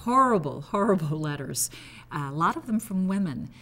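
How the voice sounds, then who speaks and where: With lively intonation, a woman speaks fairly quickly. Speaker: retired TV news anchor. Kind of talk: interview reminiscence.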